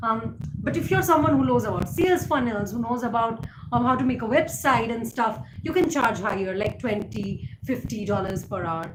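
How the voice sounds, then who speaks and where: A woman speaks with an Indian accent, her pitch swinging very widely. There is noticeable background noise and audible room echo. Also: fairly high pitch for a woman, moderate pace. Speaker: YouTuber. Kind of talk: live stream chat. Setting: live stream.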